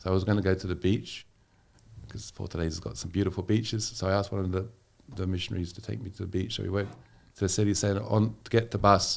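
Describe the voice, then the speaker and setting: A man with an English accent, fairly low in pitch, rattling along at a very fast pace with fairly even intonation. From England. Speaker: missionary. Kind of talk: podcast interview.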